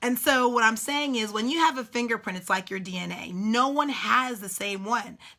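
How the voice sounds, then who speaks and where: The pitch of this woman's speech varies in an ordinary way. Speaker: business coach. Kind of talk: live stream coaching talk. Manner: fast; animated.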